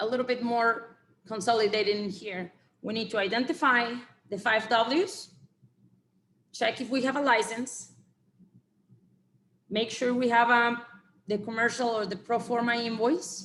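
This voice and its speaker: Long, frequent pauses break up the speech, delivered in a Spanish accent. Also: woman. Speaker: export compliance consultant. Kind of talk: webinar presentation with Q&A. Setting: online webinar. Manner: halting, many fillers and repeated words.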